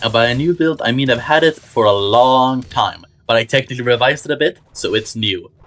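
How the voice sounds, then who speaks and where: A man speaks at a fairly quick pace in an unremarkable speaking voice. His pitch is medium, with ordinary variation. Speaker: gaming video creator. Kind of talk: gaming tutorial.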